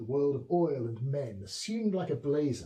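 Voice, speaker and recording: A man with a southern English accent speaks at a fairly slow pace with a fairly high pitch, very wide pitch swings, and a dark, mellow, somewhat breathy tone. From south-east England. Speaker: poet. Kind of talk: poetry reading. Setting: historic house with small audience. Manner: soft-spoken.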